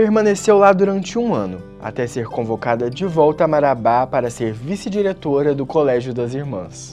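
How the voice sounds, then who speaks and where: A man's fairly high voice at a moderate pace, with very wide pitch swings, hardly any pauses and music in the background. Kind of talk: documentary podcast narration.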